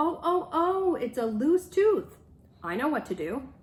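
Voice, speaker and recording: A woman's high-pitched, put-on character voice at a fairly slow pace. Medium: read story.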